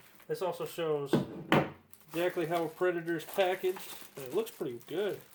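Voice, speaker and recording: Over noticeable background noise, a man talks at a fairly quick pace with an American accent. His pitch is high, with ordinary variation. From Iowa, USA. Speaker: DIY mechanic. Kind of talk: casual talk to camera. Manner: casual, easygoing.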